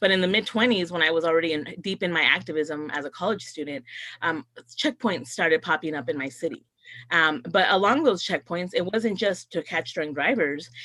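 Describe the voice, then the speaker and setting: Her bright, sharp tone carries lively intonation as the woman speaks at a fairly quick pace. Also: fairly low pitch for a woman. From North County San Diego, California. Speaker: politician. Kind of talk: panel talk.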